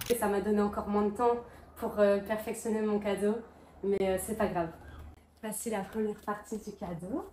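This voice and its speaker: Over noticeable background noise, a woman at medium pitch talks at a moderate pace with monotone, flat intonation and long, frequent pauses. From Luxembourg and rural Belgium. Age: 20s. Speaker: travel vlogger. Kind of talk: casual vlog chat.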